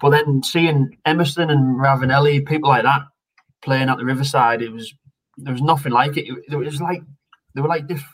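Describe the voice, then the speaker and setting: Somewhat breathy and fairly high-pitched, a man with a Teesside accent talks at a fairly quick pace with fairly even intonation. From northern England, Redcar near Middlesbrough. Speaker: retired footballer. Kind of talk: casual chat.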